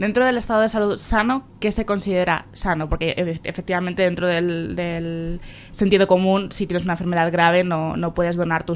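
A woman at a medium pitch with fairly even intonation. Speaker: local radio host. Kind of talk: radio interview. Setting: on location in a hospital. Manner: halting, many fillers and repetitions.

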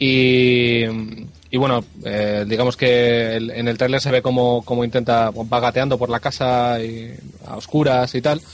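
Speaking at a medium pitch, the man holds a monotone, flat intonation. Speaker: video game website writer. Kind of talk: casual chat. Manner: fast.

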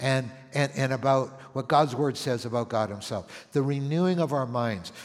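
A man speaks at a fairly slow pace in a normal speaking voice. His pitch is fairly high, with ordinary variation. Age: 60s. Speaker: senior pastor. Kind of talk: sermon. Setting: church.

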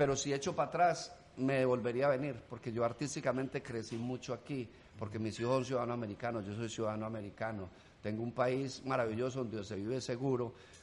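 Speaking at a very fast pace, a man talks in a medium pitch. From Colombia, rural. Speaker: comedian. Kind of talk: casual chat. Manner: animated.

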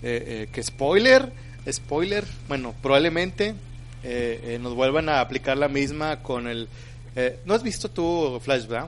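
A man with a Mexican accent talks at a very slow pace. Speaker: podcast host. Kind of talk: casual chat.

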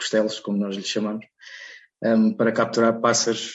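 The man's pitch is fairly low and his intonation monotone and flat. He keeps a moderate pace. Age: 30s. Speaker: bird illustrator and environmental consultant. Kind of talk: interview. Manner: halting, with frequent repetitions and fillers.

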